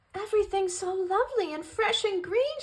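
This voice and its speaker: Using a squeaky put-on character voice, a woman speaks at an extremely high pitch and a moderate pace. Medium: read story.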